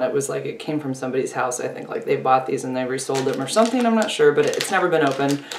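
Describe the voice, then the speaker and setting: A woman talks very fast. There is audible room echo and light background noise. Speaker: vlogger. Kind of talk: casual vlog chat. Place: home room. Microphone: phone near.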